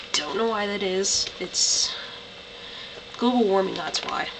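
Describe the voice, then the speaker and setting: A woman with a medium pitch and ordinary pitch variation talks at a fairly slow pace over noticeable background noise. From Canada. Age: young. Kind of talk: casual talk to camera.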